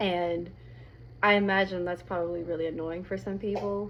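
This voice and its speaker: A woman's fairly low voice at a moderate pace, fairly even in intonation, with audible room echo. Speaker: video blogger. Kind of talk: casual monologue. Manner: hesitant, many fillers.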